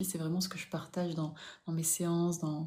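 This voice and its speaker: A woman speaks in a flat monotone, her fairly low voice somewhat breathy with a dark, mellow tone. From southern France, Toulouse. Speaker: spiritual coach. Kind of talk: live stream chat. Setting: live stream.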